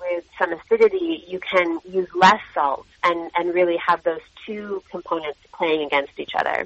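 A normal speaking voice from a woman with an American accent, fairly low in pitch, with fairly even intonation at a moderate pace. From US Midwest. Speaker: cookbook author and chef. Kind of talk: radio interview.

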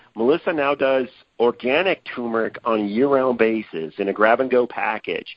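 A man's ordinary speaking voice, medium in pitch, with ordinary pitch variation and a moderate pace. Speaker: produce company representative. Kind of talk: casual interview.

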